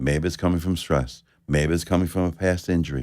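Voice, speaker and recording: The recording is very clean, with a silent background. A man speaks with a New York accent at a moderate pace. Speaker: chiropractor. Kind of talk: live radio interview. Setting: radio studio.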